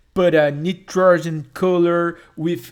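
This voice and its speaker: A Brazilian Portuguese accent in a very clean recording with a silent background. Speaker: YouTuber. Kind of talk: tutorial. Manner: halting.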